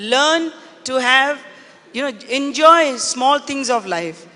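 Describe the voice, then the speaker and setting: Over noticeable background noise, a woman projects her voice at a high pitch. Her pitch varies in an ordinary way. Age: 70s. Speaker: business leader and philanthropist. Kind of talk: panel interview on stage.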